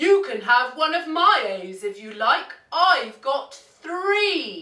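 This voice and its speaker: This put-on character voice is high-pitched and croaky. It moves at a very slow pace with very wide pitch swings. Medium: read story.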